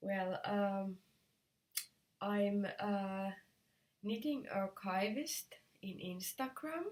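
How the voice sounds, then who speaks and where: Somewhat breathy, a woman with a Finnish accent speaks at a medium pitch and a very slow pace. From Finland. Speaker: knitting video podcaster. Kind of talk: casual vlog talk. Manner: halting, many fillers.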